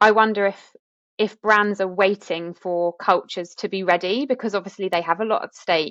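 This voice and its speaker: Recorded dry and close with no echo, a woman speaks at a moderate pace and medium pitch with fairly even intonation. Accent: British. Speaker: podcast host. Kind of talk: podcast conversation.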